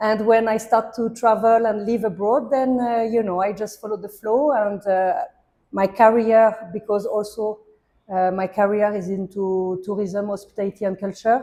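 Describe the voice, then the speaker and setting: With a French accent and a dark, mellow tone, a woman speaks at a moderate pace with fairly even intonation. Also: fairly high pitch for a woman. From France. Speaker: hospitality and art entrepreneur. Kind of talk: interview.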